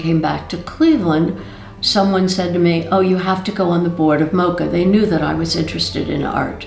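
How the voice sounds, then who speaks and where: A woman's fairly low-pitched voice with an American accent, moderate pace, and fairly even intonation, amid noticeable background noise and audible room echo. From Ohio, US Midwest (Cincinnati). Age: 80s+. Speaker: art museum board member. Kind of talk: interview testimony.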